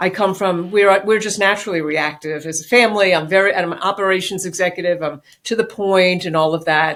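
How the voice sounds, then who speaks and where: A woman with a New York accent talks at a fairly quick pace with hardly any pauses, her medium pitch showing fairly even intonation. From New York City. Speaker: business executive and author. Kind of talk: interview.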